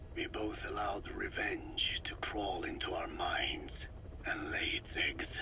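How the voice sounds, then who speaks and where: Over loud background noise, a man puts on a cartoonish character voice and talks at a fairly slow pace. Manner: formal, measured, no contractions.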